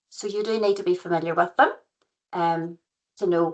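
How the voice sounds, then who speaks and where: A woman with a County Antrim accent, lively intonation and a moderate pace. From Northern Ireland, County Antrim. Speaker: professional regulator liaison consultant, former physiotherapist. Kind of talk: webinar presentation. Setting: online webinar.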